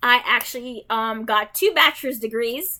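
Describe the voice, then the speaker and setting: In a very clean recording with a silent background, a woman projects a raised voice with a bright, sharp tone and high pitch at a fairly slow pace. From Jamaica. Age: 30s. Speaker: gaming streamer. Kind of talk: casual gameplay chat. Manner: rambling, many fillers.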